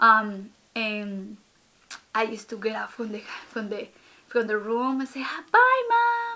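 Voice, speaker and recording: With a Spanish accent, a woman speaks at a fairly slow pace, her loudness swinging widely. She pauses long and often. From Ecuador. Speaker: vlogger. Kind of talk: casual vlog talk to camera. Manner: hesitant, many fillers.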